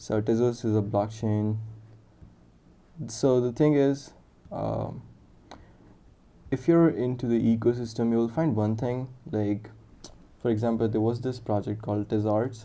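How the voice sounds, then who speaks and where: With an Indian accent, a man speaks at a medium pitch and moderate pace, with a dark, mellow tone, ordinary pitch variation and long, frequent pauses. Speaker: software developer streaming live coding. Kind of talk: live coding stream with chat interaction. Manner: casual, thinking aloud with fillers.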